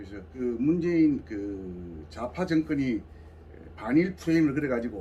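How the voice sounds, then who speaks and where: A man's somewhat breathy, dark, mellow voice at a medium pitch, with very wide pitch swings and a fairly slow pace. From South Gyeongsang, Korea (Samcheonpo). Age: 70s. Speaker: civic group regional leader. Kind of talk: interview.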